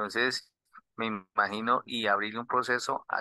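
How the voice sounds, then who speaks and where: A man in a Colombian accent speaks at a medium pitch with monotone, flat intonation, in a dry, close sound with no echo. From southern Colombia. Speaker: student. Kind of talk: class question.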